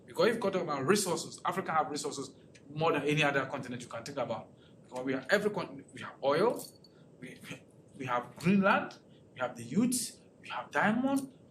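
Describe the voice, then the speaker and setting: Talking at a very fast pace, a man uses very wide pitch swings, big swings in loudness and long, frequent pauses, with audible room echo around him. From Ghana. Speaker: political researcher presenting a talk. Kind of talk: lecture presentation with audience questions. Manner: halting, with repetitions and restarts.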